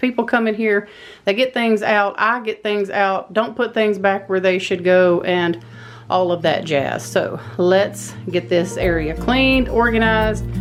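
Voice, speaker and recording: A woman of medium pitch speaks with a Texas accent. Her pace is moderate and her pitch varies in an ordinary way. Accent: Southern US (Texas). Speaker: homemaker vlogger. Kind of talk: casual vlog narration. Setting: pantry at home.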